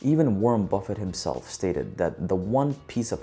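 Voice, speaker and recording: With music in the background, a man at a fairly low pitch talks at a fairly quick pace with lively intonation. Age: 30s. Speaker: vlogger giving life advice. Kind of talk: scripted talk to camera.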